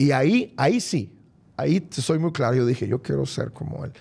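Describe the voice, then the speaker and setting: A man's voice comes through with a fairly high pitch and a somewhat breathy quality. His intonation is lively. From Mexico, Culiacán, Sinaloa. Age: 40s. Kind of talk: testimony interview. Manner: repeats words, halting.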